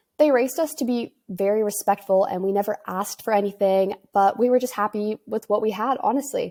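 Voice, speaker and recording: A woman in a western Canadian accent, fairly high-pitched with a dark, mellow tone, fairly quick with hardly any pauses and ordinary pitch variation, in a dry, close sound with no echo. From western Canada, near Vancouver. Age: 20s. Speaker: podcast host, entrepreneur. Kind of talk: casual solo podcast storytelling.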